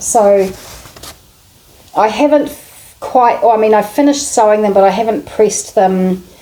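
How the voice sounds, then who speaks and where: Noticeable background noise sits behind a woman's voice. She speaks in a fairly high pitch with ordinary pitch variation. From New Zealand. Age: middle-aged. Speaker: sewing vlogger. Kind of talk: casual vlog chat.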